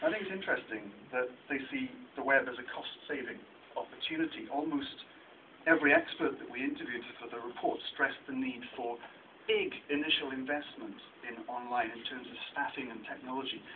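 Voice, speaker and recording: A man speaks fairly quickly. Noticeable noise runs behind him. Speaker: researcher presenting a report. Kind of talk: talk at a meeting. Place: meeting room.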